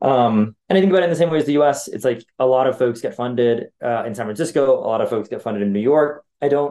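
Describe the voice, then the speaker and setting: With a Californian accent, a man at a medium pitch talks very fast with hardly any pauses and ordinary pitch variation. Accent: Californian American English. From US, Los Angeles. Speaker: venture capital investor. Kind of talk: interview. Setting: office. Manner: hesitant, many fillers.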